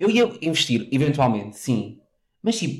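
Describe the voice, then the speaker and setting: A man is speaking. He has a European Portuguese accent. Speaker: podcast co-host. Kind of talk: casual chat. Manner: animated.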